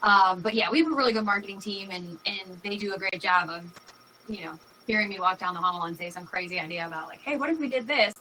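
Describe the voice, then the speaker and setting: Over noticeable background noise, a woman with a New York accent talks at a very fast pace at a medium pitch, with lively intonation and big swings in loudness. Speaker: company executive. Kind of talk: interview. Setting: live video stream.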